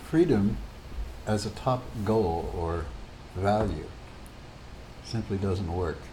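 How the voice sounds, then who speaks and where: Speaking very slowly with long, frequent pauses, a man with an American accent has a fairly low, somewhat breathy voice with a dark, mellow tone and ordinary pitch variation, heard with audible room echo. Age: 80s+. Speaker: retired physicist and psychotherapist. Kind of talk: casual monologue to camera.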